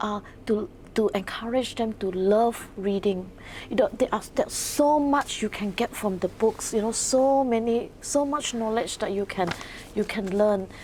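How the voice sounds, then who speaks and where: At a fairly slow pace, a woman speaks in a Mandarin accent with fairly high pitch and ordinary pitch variation. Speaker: author and English lecturer. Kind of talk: interview. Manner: halting, with repetitions.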